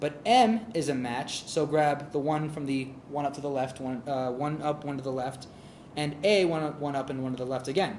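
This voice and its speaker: A man's talking proceeds at a moderate pace while noticeable background noise continues. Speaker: tech meetup presenter. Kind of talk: technical presentation.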